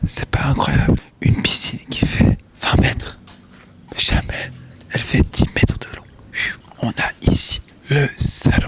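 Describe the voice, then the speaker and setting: A man whispers at a fairly slow pace with long, frequent pauses. Noticeable background noise can be heard. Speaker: vlogger. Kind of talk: casual home tour vlog. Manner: whispering.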